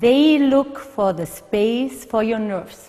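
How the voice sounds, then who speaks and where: A woman's fairly high voice, very slow, with ordinary pitch variation. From Germany. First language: German. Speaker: physical therapist. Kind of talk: instructional video.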